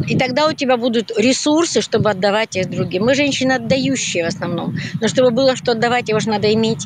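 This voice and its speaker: A woman with a fairly high pitch speaks at a very fast pace. The sound is dry with no echo, and there is noticeable background noise. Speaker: volunteer. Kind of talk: interview. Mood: warm, encouraging. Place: street. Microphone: phone near.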